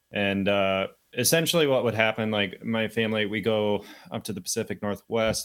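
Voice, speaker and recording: A man with an American accent and an unremarkable speaking voice talks at a fairly quick pace with fairly even intonation over a very clean recording and silent background. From US Midwest, rural Michigan. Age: 20s. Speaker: health entrepreneur, cold therapy advocate. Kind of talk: casual interview chat.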